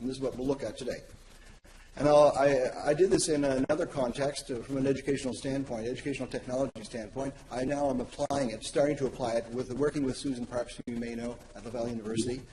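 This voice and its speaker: Over noticeable background noise, a man of medium pitch speaks at a very fast pace with fairly even intonation. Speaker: academic presenter. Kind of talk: conference presentation.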